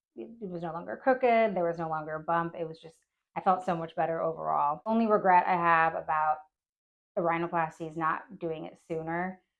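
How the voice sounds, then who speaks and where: This is a plain, everyday voice from a woman with a fairly low pitch. She talks fairly quickly, with ordinary pitch variation and big swings in loudness. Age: 30s. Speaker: plastic surgery patient. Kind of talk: patient testimonial. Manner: casual, happy.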